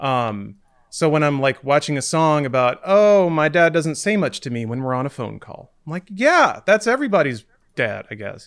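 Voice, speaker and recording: An unremarkable speaking voice from a man, fairly high in pitch, with lively intonation, big swings in loudness and a moderate pace, on a very clean recording with a silent background. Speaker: podcast host. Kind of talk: casual chat.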